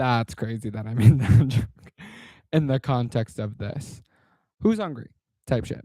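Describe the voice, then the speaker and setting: At a fairly slow pace, a man speaks at a medium pitch in a somewhat breathy voice with a dark, mellow tone, ordinary pitch variation, long, frequent pauses and big swings in loudness. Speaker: content creator. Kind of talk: casual vlog monologue.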